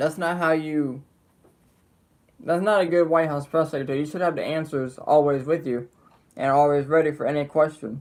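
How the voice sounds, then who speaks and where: With an American accent, a man speaks at a moderate pace in a fairly high pitch, leaving long, frequent pauses. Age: young. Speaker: political commentary streamer. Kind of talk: live stream commentary. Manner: animated.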